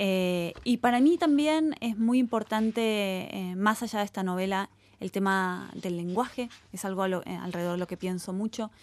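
Against a quiet background, a woman in a Rioplatense accent speaks at a medium pitch and a moderate pace with ordinary pitch variation. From Argentina, Buenos Aires. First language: Spanish (speaking Italian). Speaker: novelist. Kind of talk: interview.

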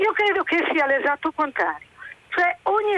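A woman's raised, projected voice at a moderate pace, with very wide pitch swings and a dry, close sound with no echo. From Italy, Genoa. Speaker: caller. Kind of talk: phone-in opinion. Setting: phone call.

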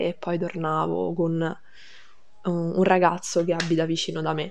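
Audible room echo surrounds a woman with a fairly low voice. She speaks at a fairly slow pace. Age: 19. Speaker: high school graduate. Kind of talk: interview testimony.

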